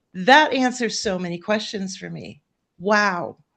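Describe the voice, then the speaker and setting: A woman of medium pitch speaks with ordinary pitch variation against a quiet background. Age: 60s. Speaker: life coach for women of faith facing estrangement. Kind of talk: panel conversation. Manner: halting, many restarts.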